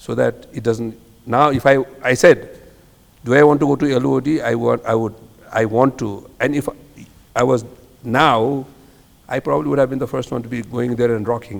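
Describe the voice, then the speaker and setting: With noticeable background noise, a man of medium pitch talks at a moderate pace, using ordinary pitch variation and long, frequent pauses. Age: 60s. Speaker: hotel businessman. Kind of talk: casual chat. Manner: animated.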